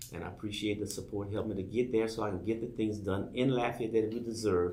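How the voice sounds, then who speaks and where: Speaking very fast with an American accent, a man has a fairly low, somewhat breathy voice with a dark, mellow tone and monotone, flat intonation. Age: 60s. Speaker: political candidate. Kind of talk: campaign appeal on radio show.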